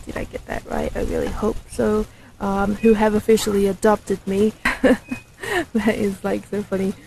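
A woman at a moderate pace and medium pitch, with ordinary pitch variation and noticeable background noise. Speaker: documentary filmmaker. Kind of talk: casual vlog talk to camera.

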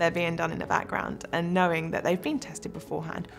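Clear music can be heard in the background. Over it, a woman speaks. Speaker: hospital IT service analyst. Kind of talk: interview answer. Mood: positive, enthusiastic. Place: studio. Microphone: lapel.

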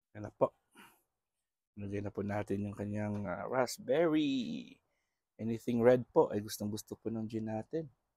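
Over a quiet background, a man with a dark, mellow tone talks at a fairly slow pace, with ordinary pitch variation, big swings in loudness and long, frequent pauses. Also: medium pitch for a man, dry sound with no echo. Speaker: pet vlogger. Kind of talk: casual vlog commentary. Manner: soft-spoken, quieter than usual; naturally loud voice. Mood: warm, affectionate, grateful. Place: home room. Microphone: phone near.

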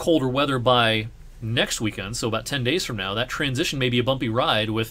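With an American accent, a man speaks at a fairly quick pace in a bright, sharp tone. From US Midwest, southwest Ohio. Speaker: meteorologist. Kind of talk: weather forecast video. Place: home room.

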